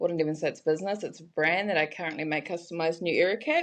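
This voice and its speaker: A woman with a New Zealand accent speaks at a fairly low pitch. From New Zealand, Hamilton and Raglan. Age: 20s. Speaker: brand creator. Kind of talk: casual interview chat.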